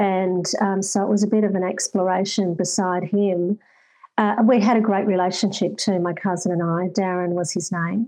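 A woman with an Australian accent, in a dark, mellow tone, with monotone, flat intonation at a moderate pace. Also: medium pitch for a woman. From far north Queensland, Australia. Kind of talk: interview.

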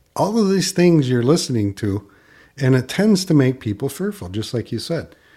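A man with a medium pitch, a somewhat breathy voice, a dark, mellow tone and very wide pitch swings. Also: very clean recording, silent background. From Michigan, US Midwest. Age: 60s. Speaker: financial advisor. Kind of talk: casual chat.

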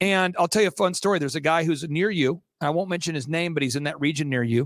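Speaking very fast in an animated tone, a man with a fairly high pitch and ordinary pitch variation comes through dry and close with no echo, on a very clean recording with a silent background. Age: 40s. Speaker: entrepreneur and podcast host. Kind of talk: interview.

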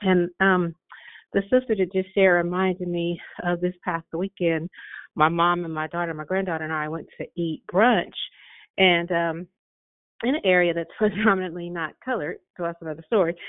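A woman with an ordinary speaking voice and fairly even intonation. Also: fairly low pitch for a woman, moderate pace. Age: 50s. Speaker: school staff caller. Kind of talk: testimony. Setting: phone call.

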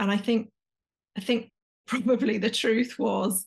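A woman with an English accent speaks at a fairly slow pace with fairly high pitch. Her voice is somewhat breathy, and her intonation is monotone and flat. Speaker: executive coach. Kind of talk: interview conversation.

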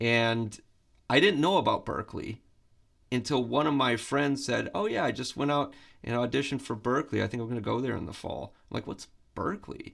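A man's medium-pitched voice with vocal fry and ordinary pitch variation, on a very clean recording with a silent background. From Michigan, US Midwest. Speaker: guitar professor. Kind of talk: interview.

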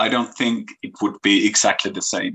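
A man with a Finnish accent talks at a moderate pace. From Finland. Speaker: musician and youth worker. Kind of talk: interview. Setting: video call.

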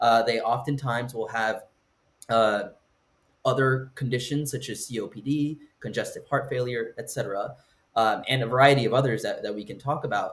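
An American accent marks this man's somewhat breathy, medium-pitched voice, delivered at a moderate pace with fairly even intonation. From Southern California. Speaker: medical student. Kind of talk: interview.

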